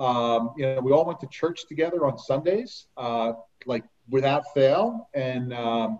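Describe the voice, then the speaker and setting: A man with an unremarkable speaking voice, medium pitch, lively intonation and a fairly slow pace. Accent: American. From New Jersey. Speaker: author and former amusement park lifeguard. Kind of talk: interview.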